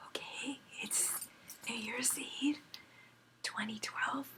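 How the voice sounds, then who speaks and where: A woman whispers very slowly over noticeable background noise. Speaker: voice therapy client with spasmodic dysphonia. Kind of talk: casual chat. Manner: halting.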